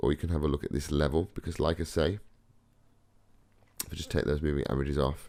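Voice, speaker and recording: This man's pitch is very deep and low. His voice carries vocal fry. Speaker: forex trading educator. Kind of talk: tutorial. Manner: casual, hesitant with fillers.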